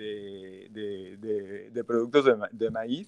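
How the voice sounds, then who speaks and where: A man's voice at medium pitch. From Mexico, Tabasco. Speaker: chef. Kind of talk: interview.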